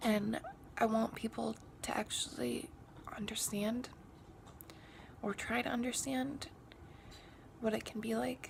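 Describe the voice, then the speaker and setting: Noticeable background noise sits under a woman talking at a fairly slow pace. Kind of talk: casual talk to camera. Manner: hesitant, rambling.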